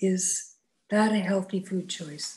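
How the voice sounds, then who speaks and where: With a dark, mellow, somewhat breathy tone, a woman speaks at a very slow pace in monotone, flat intonation. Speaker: webinar participant with spinal cord injury. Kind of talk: audience question. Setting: video call. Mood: candid, curious. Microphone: video call.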